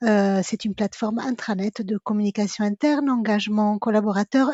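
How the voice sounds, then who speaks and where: A woman with an Italian accent speaks in a sing-song, somewhat breathy voice at a fairly high pitch. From Italy. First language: Italian (speaking French). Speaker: communications director. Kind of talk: interview podcast. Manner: sing-song intonation.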